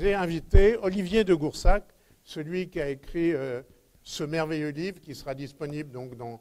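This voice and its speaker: A man speaks very slowly in a fairly high voice, with ordinary pitch variation. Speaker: astronomy society conference host. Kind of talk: event announcements and speaker introduction. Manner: halting, many hesitations.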